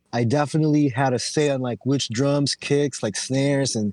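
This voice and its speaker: Recorded with a dry, close sound and no echo, a man with an American accent and an unremarkable speaking voice talks at medium pitch and a moderate pace. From Philippines, then Oxnard, California from age 10. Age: 30s. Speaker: rapper. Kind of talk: casual chat.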